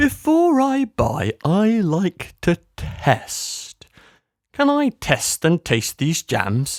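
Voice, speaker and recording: Using a put-on character voice, a man speaks very slowly at a high pitch with very wide pitch swings, in a very clean recording with a silent background and a dry, close sound with no echo. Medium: read story. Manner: jolly, fussy.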